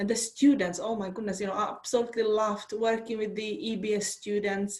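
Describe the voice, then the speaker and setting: At a fairly quick pace, a woman with a Czech accent speaks in a fairly high pitch with fairly even intonation. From Czech Republic. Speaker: university lecturer. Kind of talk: online workshop talk.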